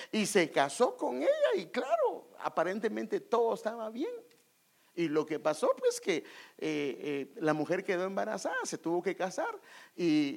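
Long, frequent pauses in a man's speech at a fairly slow pace. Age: 50s. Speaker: pastor. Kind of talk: sermon.

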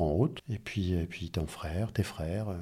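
Somewhat breathy, a man's very deep, low voice comes through in a very clean recording with a silent background. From France, Angers. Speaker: doctor. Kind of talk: casual chat.

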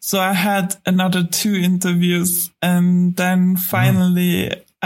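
A woman with a German accent speaks at a fairly low pitch in a somewhat breathy voice. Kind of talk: podcast interview.

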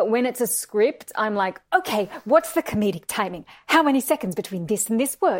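Fairly quick speech in an Australian accent, with very wide pitch swings and hardly any pauses. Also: woman, fairly high pitch for a woman. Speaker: actress. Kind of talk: casual chat.

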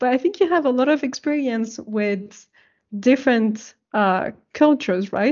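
Speaking at a fairly slow pace, a woman with a non-native accent uses a high pitch and lively intonation. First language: not English. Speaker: podcast host. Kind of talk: interview. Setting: video call. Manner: halting, many fillers.

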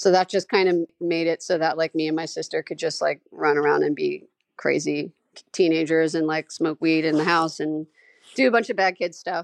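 A woman with an American accent speaks fairly quickly in an ordinary speaking voice, at a fairly low pitch. Her intonation is fairly even, and the sound is dry and close with no echo. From New York (Staten Island). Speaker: folk punk musician. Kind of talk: interview.

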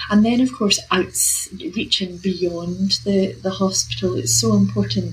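Moderate pace with noticeable background noise. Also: woman. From UK. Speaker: professor of health equity. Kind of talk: interview. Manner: hesitant, filler words.

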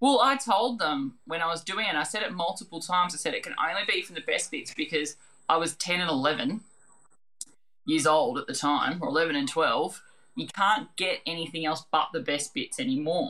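In an Australian accent, a woman with a fairly low pitch and a bright, sharp tone speaks at a moderate pace, her pitch swinging very widely. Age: 40s. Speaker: quiz show contestant and restaurant manager. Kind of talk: casual chat.

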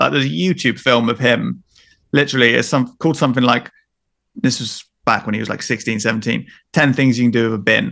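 A man's medium-pitched, bright and sharp voice with vocal fry, ordinary pitch variation and a very fast pace. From Devon, England. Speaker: travel filmmaker and YouTuber. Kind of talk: casual chat. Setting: remote call.

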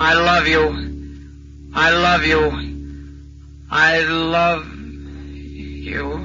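A man's put-on character voice at a very slow pace, with clear music in the background. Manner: droning, repetitive.

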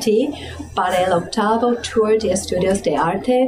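A woman at a medium pitch speaks with music in the background. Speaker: art event organizer. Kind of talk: interview.

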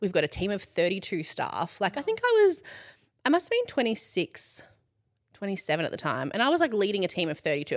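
A woman with an Australian accent and lively intonation at a fairly quick pace, on a very clean recording with a silent background. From Australia, Ballarat. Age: 30s. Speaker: content creator and entrepreneur. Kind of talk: casual chat.

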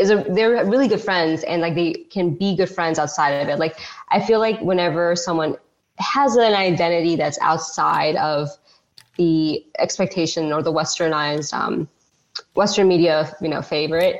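A woman's fairly low-pitched voice with ordinary pitch variation, a plain, everyday voice. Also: moderate pace. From US Northeast, tri-state area. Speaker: medical student and TikToker. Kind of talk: casual chat.

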